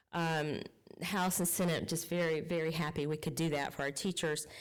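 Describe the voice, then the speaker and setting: A woman with a Southern US accent speaks at a moderate pace in a fairly low voice. Audible room echo surrounds the recording. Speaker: state legislator. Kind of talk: public meeting report. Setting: county council meeting.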